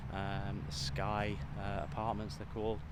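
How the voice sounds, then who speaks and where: With a British accent, a man speaks in a bright, sharp tone with vocal fry and lively intonation, and audible room echo surrounds him. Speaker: vlogger and mind coach. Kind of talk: casual vlog. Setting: outdoors walking.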